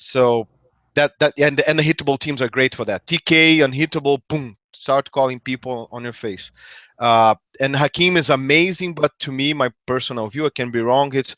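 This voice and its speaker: A speaker with a Brazilian accent talks at a moderate pace in a bright, sharp tone with fairly even intonation. The sound is dry and close with no echo, over a quiet background. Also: man, fairly high pitch for a man. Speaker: tabletop game player. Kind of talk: casual chat.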